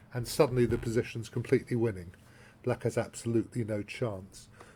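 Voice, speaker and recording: This is a man speaking with a British accent. His pitch sits in the medium range. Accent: English (British RP-like). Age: 60s. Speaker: chess grandmaster and columnist. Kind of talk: tutorial. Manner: halting.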